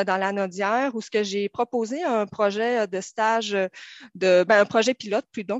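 In a Saguenay accent, a woman with a fairly high pitch speaks at a fairly slow pace, her pitch varying in an ordinary way. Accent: Saguenay Quebec French. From Quebec, Saguenay. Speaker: police social worker. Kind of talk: radio panel discussion. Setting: studio.

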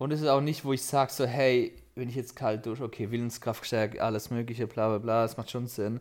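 A man with a medium-pitched voice talks at a fairly quick pace, with hardly any pauses and a monotone, flat intonation. The recording is very clean, with a silent background. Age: 20s. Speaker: podcast co-host. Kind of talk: casual chat.

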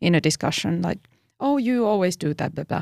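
A plain, everyday voice with lively intonation comes through with a dry, close sound and no echo. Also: woman. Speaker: podcast host. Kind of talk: casual interview chat. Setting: studio.

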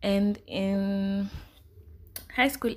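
There is a silent background in this very clean recording. A woman does the talking. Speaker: podcast host. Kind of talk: casual solo podcast talk. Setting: solo podcast recording.

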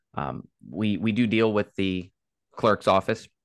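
A man with an American accent speaks at a fairly low pitch with vocal fry. The sound is dry and close, with no echo. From Virginia, Caroline County. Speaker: political candidate, sheriff's sergeant. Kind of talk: interview.

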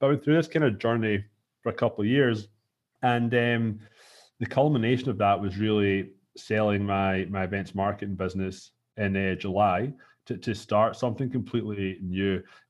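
Speaking at a fairly quick pace, a man with a Scottish accent has a fairly low pitch and ordinary pitch variation. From Scotland. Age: 30s. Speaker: entrepreneur. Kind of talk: casual chat. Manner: halting.

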